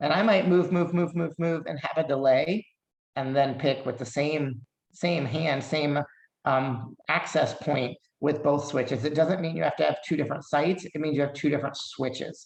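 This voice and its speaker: A plain, everyday voice from a man, fairly high in pitch, with fairly even intonation at a moderate pace. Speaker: occupational therapist presenter. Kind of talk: lecture.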